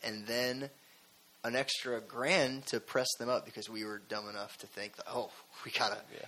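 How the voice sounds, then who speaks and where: In an American accent, a normal speaking voice moves at a moderate pace with fairly even intonation. Its loudness swings widely. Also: man, medium pitch for a man. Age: 20s. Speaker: rock band musician. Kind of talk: casual interview. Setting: studio.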